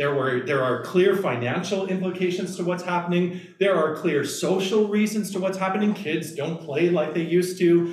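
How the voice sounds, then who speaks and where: Speaking at a moderate pace with hardly any pauses, a man with a high pitch and ordinary pitch variation is heard in a room with audible echo. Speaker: pastor giving a lecture. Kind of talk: lecture. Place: meeting room. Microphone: camera far.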